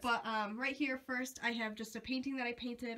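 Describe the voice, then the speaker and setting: Talking at a very fast pace, a woman keeps her fairly high voice in fairly even intonation. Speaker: craft YouTuber. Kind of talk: room tour vlog. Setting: walking through home basement, handheld camera. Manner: casual, with many ums.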